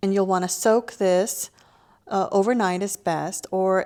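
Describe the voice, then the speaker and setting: A woman at medium pitch and a fairly slow pace, on a very clean recording with a silent background. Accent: Lao. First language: Lao. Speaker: cooking show host. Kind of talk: cooking tutorial. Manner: casual, friendly.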